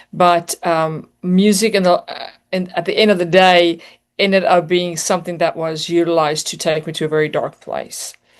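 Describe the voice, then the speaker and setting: At a moderate pace, the speech comes out flat and monotone. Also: woman, fairly low pitch for a woman. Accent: South African. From South Africa, near Johannesburg. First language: Afrikaans. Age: 40s. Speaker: singer and motivational speaker. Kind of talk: interview testimony.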